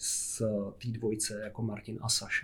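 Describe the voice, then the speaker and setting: A man talks in a monotone with flat intonation. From Czechia, Jizera Mountains region (Jablonec area). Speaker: film director and illustrator. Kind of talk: casual interview.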